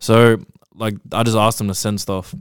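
A man's fairly low voice in a New Zealand accent, with fairly even intonation, a dry, close sound with no echo, and a very clean recording against a silent background. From New Zealand, South Auckland. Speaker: clothing brand founder. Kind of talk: casual chat. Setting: studio.

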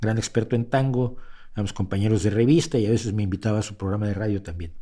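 Very fast man's voice, fairly low in pitch, with ordinary pitch variation and a dark, mellow tone. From Mexico. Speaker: podcast host and commentator. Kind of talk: livestream commentary. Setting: home studio livestream. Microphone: mic close to face.

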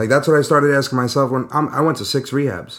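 A man with a New York accent speaks at a fairly quick pace in a fairly high pitch, with ordinary pitch variation. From Brooklyn, then Long Island from age 10. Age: 30s. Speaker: construction worker in recovery, podcast co-host. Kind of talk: casual chat. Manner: animated, rambling.

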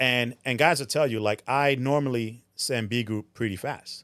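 A man talks in a New Jersey accent. The recording is very clean, with a silent background. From Newark, New Jersey (born Puerto Rico, moved 1980). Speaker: drift event tech inspector. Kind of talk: casual chat.

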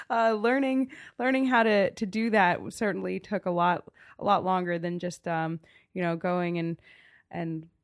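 With ordinary pitch variation and a medium pitch, a woman talks at a moderate pace. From US Mid-Atlantic, rural Montgomery County, Maryland. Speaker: small business owner. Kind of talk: interview. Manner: animated.

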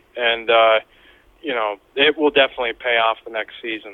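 This man talks at a moderate pace. His pitch sits in the medium range. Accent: Pennsylvania. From northern Pennsylvania. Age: 30s. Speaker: deer hunter. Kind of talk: casual interview.

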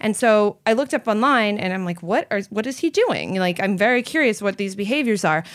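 A woman with an ordinary speaking voice talks at a fairly quick pace, with hardly any pauses. Her pitch is fairly high and her intonation lively. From Canada. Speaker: vegan entrepreneur and author. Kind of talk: interview conversation. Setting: in-person recording.

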